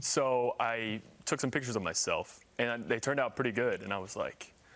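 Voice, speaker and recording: A man with an American accent speaks at a fairly quick pace in an ordinary speaking voice, medium in pitch with ordinary pitch variation, over a quiet background. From US Midwest, Indiana. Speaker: model and content creator. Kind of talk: TV interview. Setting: live TV studio.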